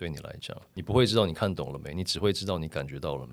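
Very deep, low male voice with vocal fry and lively intonation. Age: 40s. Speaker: photographer. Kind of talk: casual interview.

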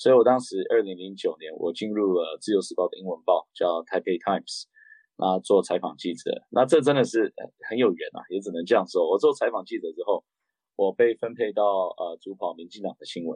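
The speech moves at a fairly quick pace with big swings in loudness. The sound is dry and close, with no echo. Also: man. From raised abroad: Japan, Beijing, Canada. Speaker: political candidate, former interpreter. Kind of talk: interview.

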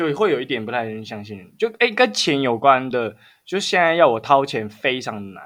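Very wide pitch swings and big swings in loudness mark this man's fairly quick delivery. The recording is very clean, with a silent background. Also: medium pitch for a man. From Taiwan. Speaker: podcast co-host. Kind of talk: casual chat.

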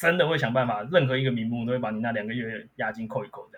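A man's somewhat breathy voice with ordinary pitch variation. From Taiwan, Miaoli. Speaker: lawyer. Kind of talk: casual interview chat.

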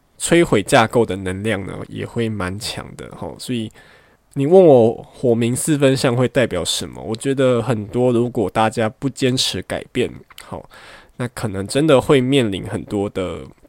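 A man speaks at medium pitch and a fairly slow pace, with lively intonation and big swings in loudness. The recording is very clean, with a silent background. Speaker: astrology podcast host. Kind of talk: casual solo chat. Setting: home bedroom during quarantine.

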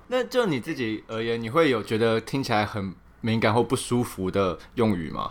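An ordinary speaking voice from a man, at a moderate pace with ordinary pitch variation. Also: medium pitch for a man. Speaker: podcast co-host. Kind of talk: casual chat.

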